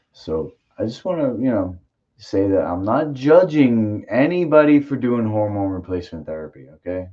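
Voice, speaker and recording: A man at a medium pitch and moderate pace, with very wide pitch swings and big swings in loudness. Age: 40s. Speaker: martial arts podcast host. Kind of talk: casual chat.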